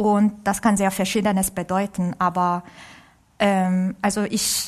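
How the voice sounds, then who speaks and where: In a Korean accent, a woman speaks at a very slow pace. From South Korea. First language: Korean (speaking German). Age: 30s. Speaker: orchestra violinist. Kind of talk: interview. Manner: halting.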